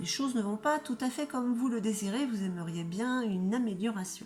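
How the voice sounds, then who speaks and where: With music playing behind her, a woman speaks at a moderate pace in a medium pitch with lively intonation. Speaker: tarot reader. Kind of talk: tarot reading video. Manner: casual, chatty.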